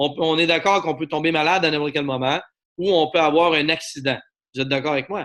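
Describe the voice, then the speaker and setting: A man with a Quebec accent talks at a very fast pace in an animated tone. His pitch is fairly high. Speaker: network marketing presenter. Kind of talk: sales pitch.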